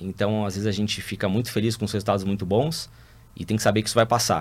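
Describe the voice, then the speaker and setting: Talking at a very fast pace, a man with a fairly low pitch comes through on a very clean recording with a silent background. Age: 50s. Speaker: business executive. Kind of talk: interview monologue.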